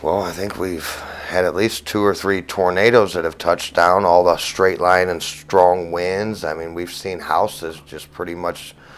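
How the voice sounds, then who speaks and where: Over noticeable background noise, a man with a very deep, low pitch talks at a fairly slow pace in a monotone, flat intonation, with hardly any pauses. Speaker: roofing contractor. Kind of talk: interview answer.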